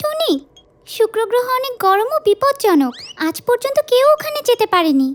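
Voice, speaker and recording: The voice is pitched extremely high. It is a put-on character voice delivered at a moderate pace. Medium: fan dub.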